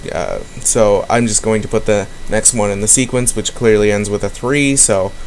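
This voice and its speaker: With fairly even intonation and a medium pitch, a man talks while noticeable noise fills the background. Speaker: gaming video host. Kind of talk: let's play commentary. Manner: fast.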